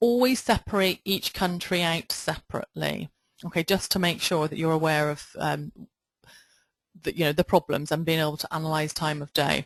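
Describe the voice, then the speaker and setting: Against a quiet background, the speaker uses a Bristol accent at a moderate pace, with a dry, close sound that has no echo. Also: woman. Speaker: online marketing trainer. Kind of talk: webinar tutorial. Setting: webinar with screen share.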